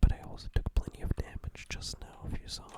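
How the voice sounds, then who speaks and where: Someone whispers at a fairly quick pace. Noticeable background noise runs under the voice. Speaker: ASMR gaming commentator. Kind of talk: ASMR gameplay commentary. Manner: whispered, soft-spoken.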